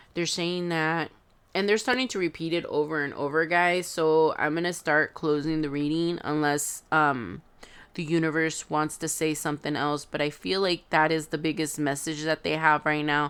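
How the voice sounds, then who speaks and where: A woman with a Spanish accent speaks at a moderate pace in a very deep, low pitch with fairly even intonation, on a very clean recording with a silent background. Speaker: tarot reader. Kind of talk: tarot reading. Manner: hesitant, many fillers.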